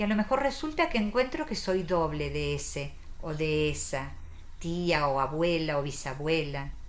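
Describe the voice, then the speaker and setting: There is audible room echo. A woman talks at a fairly slow pace. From Argentina. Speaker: psychoanalyst and author. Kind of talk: interview.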